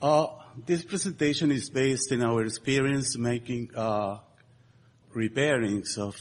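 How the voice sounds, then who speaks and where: This is a man with a Spanish accent. His pitch sits in the medium range. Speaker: structural engineer. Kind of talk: conference presentation. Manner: halting, many fillers.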